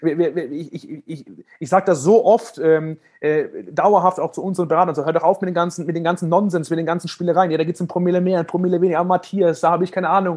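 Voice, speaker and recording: A man talks very fast at a high pitch. His intonation stays fairly even. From Germany. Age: 30s. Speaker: financial services entrepreneur. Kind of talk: interview. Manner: halting, many repetitions and fillers.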